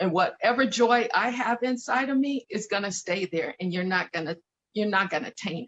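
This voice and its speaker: A woman's fairly high voice with lively intonation, big swings in loudness, and an American accent. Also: moderate pace. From Denver, Colorado, US. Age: 50s. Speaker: courier and aspiring actress. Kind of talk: casual interview conversation. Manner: halting with repetitions.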